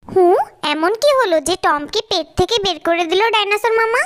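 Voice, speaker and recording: This is a put-on character voice with an extremely high pitch. It moves at a moderate pace. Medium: dub.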